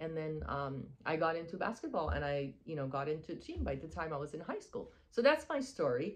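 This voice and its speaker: A woman speaks at a fairly quick pace with a Persian accent. She hardly pauses at all. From Iran, moved to Texas at twelve. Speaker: spiritual wellness coach. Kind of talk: casual monologue. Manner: hesitant, many fillers.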